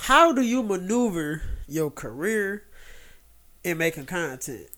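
Over a very clean, silent background, a high-pitched man speaks very slowly with an American accent. He uses lively intonation and long, frequent pauses. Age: 30s. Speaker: podcast host. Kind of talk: casual chat.

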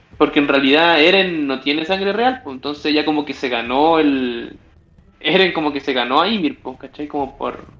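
Against noticeable background noise, a man with a Chilean accent speaks at a moderate pace in a fairly high voice with ordinary pitch variation. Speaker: podcast host. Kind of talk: casual chat.

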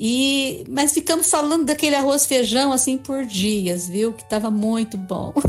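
Amid noticeable background noise, a woman with a high pitch and lively intonation speaks at a fairly slow pace. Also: hardly any pauses. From Brazil. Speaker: retired public servant and travel blogger. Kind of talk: casual chat.

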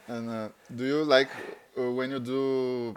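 In a Bulgarian accent, a man speaks at a moderate pace. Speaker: podcast host. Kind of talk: interview; scripted outro. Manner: casual.

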